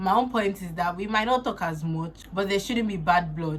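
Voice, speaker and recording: A woman talks with a Nigerian accent at a moderate pace. Her pitch varies in an ordinary way. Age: 20s. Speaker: makeup artist and beauty influencer. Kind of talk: casual talk to camera.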